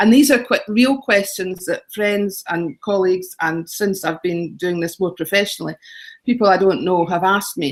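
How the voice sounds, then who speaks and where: A woman speaks at a moderate pace with a Scottish accent, her pitch sitting in the middle range. The recording is very clean, with a silent background. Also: ordinary pitch variation. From Scotland. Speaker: travel blogger and author. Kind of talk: interview.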